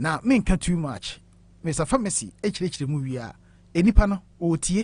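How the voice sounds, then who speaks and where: The speaker has a Ghanaian accent and talks at a fairly quick pace. The background is quiet. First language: Twi. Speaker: radio show host. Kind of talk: talk show interview on health.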